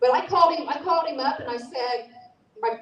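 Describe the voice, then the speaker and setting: A woman talks loudly at a fairly quick pace, her pitch high. Her tone is animated. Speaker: speaker at a political rally. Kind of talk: impassioned speech.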